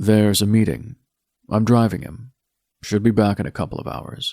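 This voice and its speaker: A man's gruff, put-on character voice, fairly low in pitch with ordinary pitch variation, at a moderate pace in a dry, close sound with no echo. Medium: read story. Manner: gruff, terse.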